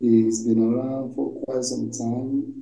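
There is audible room echo and light background noise. A man speaks at a fairly slow pace. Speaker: interview host. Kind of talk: interview question. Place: home room. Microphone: video call.

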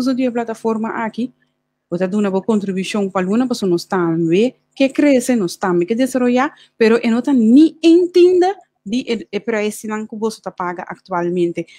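A woman speaks at a moderate pace in a dark, mellow, fairly high voice with very wide pitch swings. The background is quiet and the sound is dry with no echo. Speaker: co-host. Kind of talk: interview talk show. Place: home room. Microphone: video call.

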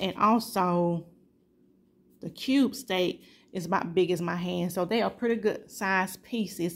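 The speech has ordinary pitch variation and a moderate pace. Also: woman. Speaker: home vlogger. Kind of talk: casual vlog chat. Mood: warm, upbeat. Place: kitchen. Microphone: phone near.

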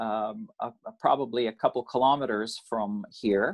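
Over a quiet background, a man with a Canadian accent speaks with lively intonation. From Canada. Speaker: recent emigrant. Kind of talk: interview. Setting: video call. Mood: calm storytelling. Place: home room. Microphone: video call.

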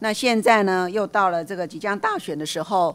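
This woman has a plain, everyday voice, talking at a fairly quick pace with ordinary pitch variation. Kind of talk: parliamentary questioning. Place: hall. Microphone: podium.

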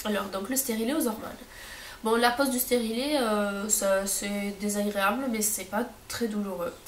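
A woman with a fairly high pitch talks at a fairly slow pace and with fairly even intonation over noticeable background noise. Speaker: stay-at-home mother. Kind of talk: casual talk to camera. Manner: hesitant, many fillers.

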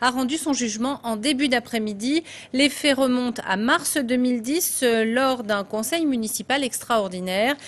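A woman speaks at a fairly slow pace in a high pitch with ordinary pitch variation. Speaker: news anchor. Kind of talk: news reading. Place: studio. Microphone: lapel.

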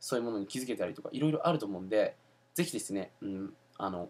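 The man speaks at a very fast pace. His intonation is lively. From Japan. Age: 20s. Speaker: entrepreneur and self-help video host; self-help video host. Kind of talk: casual video monologue. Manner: casual with many fillers. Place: home room. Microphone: webcam.

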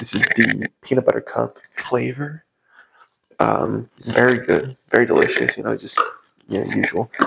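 Talking at a moderate speed, a man is heard against noticeable background noise. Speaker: fitness vlogger. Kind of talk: sponsor sales pitch. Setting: at home, early morning. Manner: quieter than usual, soft-spoken. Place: kitchen.

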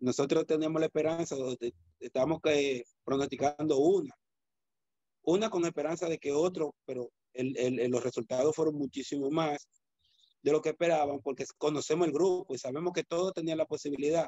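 Against a quiet background with a dry sound and no echo, a man with a Dominican accent talks at a moderate pace, a fairly high pitch and fairly even intonation. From Dominican Republic, San Cristóbal. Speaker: judo coach and former athlete. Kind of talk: interview. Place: home room. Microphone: video call.

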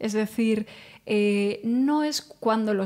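The background is quiet. A woman talks with a fairly high pitch. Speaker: psychologist. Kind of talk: casual chat. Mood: calm, friendly, explanatory. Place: studio. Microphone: studio mic.

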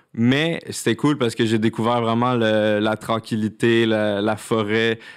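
Against a quiet background, a man with a Quebec accent speaks with fairly even intonation. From Quebec, Laurentides. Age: 20s. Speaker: content creator. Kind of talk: casual chat. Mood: relaxed, cheerful. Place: studio. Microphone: studio mic.

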